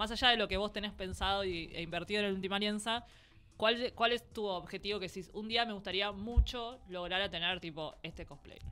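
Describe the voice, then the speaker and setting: Over faint background music, a woman with a Rioplatense accent speaks in a bright, sharp tone, her intonation fairly even but her loudness swinging widely. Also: fairly quick pace. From Argentina. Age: 30s. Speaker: podcast co-host. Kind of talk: casual chat. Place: studio. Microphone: studio mic.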